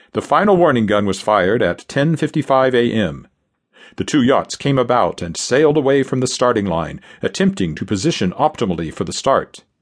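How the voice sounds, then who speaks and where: A man's dramatic, medium-pitched delivery with vocal fry, very wide pitch swings and a fairly quick pace over a quiet background. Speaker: audiobook narrator. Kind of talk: scripted narration, audiobook history reading. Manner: dramatic, vivid, steady-paced storytelling; formal, measured.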